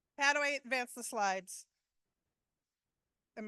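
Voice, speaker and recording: A woman speaks loudly in a bright, sharp tone, recorded dry and close with no echo. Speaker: panel moderator. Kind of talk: conference panel introduction.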